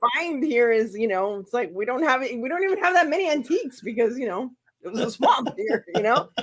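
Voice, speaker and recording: A woman with a high voice and an American accent speaks at a fairly quick pace in an animated tone. Her pitch swings very widely. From New York City, Queens. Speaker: crafting channel host. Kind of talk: casual chat.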